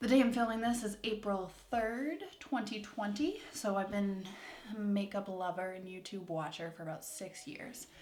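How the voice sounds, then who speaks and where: A woman at a moderate pace, with big swings in loudness and audible room echo. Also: medium pitch for a woman, ordinary pitch variation. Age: 20s. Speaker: beauty vlogger. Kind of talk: casual chat while doing makeup. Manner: peppy, upbeat; frequent filler 'um's.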